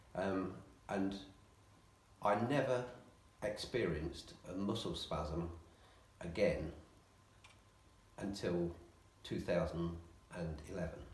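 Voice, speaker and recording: A man's very deep, low voice, somewhat breathy, at a very slow pace with long, frequent pauses, ordinary pitch variation and audible room echo. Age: 60s. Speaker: physiotherapy patient. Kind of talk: interview. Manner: hesitant, many ums.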